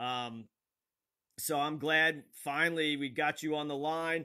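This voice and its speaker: A man talks loudly with ordinary pitch variation over a quiet background. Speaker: online talk show host; live stream host. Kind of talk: live call-in show conversation. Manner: halting, many fillers. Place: home room. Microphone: phone near.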